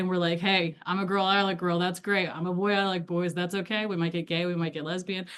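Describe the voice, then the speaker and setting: A woman with a Midwestern accent speaks at a fairly quick pace in a fairly low voice. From US Midwest. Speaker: LGBTQ+ educator. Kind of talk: lecture. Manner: casual, animated.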